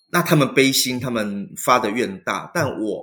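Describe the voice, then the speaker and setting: Here is a man with an unremarkable speaking voice and a medium pitch. His intonation is lively and his pace fairly slow. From Taiwan. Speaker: Buddhist monk. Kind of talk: interview conversation.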